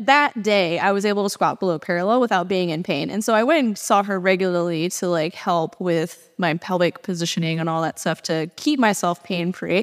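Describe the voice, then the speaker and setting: A woman with a normal speaking voice talks at a fairly quick pace in a medium pitch, with ordinary pitch variation and hardly any pauses. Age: 30s. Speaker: podcast host, fitness trainer. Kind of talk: casual interview.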